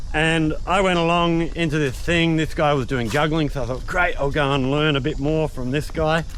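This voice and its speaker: With an Australian accent, a man at a fairly high pitch talks at a moderate pace with hardly any pauses, fairly even intonation and very even loudness, while audible room echo surrounds him. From Western Australia (Albany). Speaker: youtuber and juggler. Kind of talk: casual chat. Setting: outdoors.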